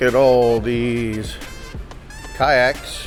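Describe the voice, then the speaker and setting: A man's voice sits at a medium pitch. Behind it, music can be heard. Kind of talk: casual talk to camera, walking through an auction preview.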